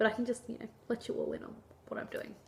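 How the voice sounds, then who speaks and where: A woman with an Australian accent. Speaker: vlogger. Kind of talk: casual vlog monologue. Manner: chatty, informal.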